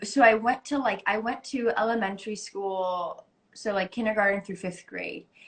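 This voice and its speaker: A woman with an American accent speaks in a fairly high, somewhat breathy voice. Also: fairly even intonation, moderate pace. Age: 20s. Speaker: actress. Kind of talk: casual interview. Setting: Instagram live video call.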